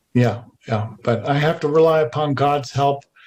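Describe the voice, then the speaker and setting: A man speaks at a moderate pace with a somewhat breathy voice and ordinary pitch variation. The recording is very clean, with a silent background. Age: 60s. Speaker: alternative energy researcher. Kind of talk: interview.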